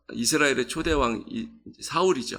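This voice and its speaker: The recording is very clean, the background silent. A man talks with a bright, sharp tone. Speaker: pastor. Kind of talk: sermon. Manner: halting, many fillers.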